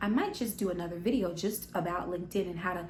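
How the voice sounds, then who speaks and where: Animated and fairly quick, a woman speaks amid audible room echo. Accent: American. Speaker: business vlogger. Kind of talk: tutorial. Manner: fast.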